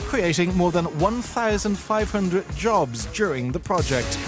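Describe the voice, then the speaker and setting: With music playing behind him, a man speaks at a moderate pace. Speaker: voice actor. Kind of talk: corporate narration. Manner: determined, driven.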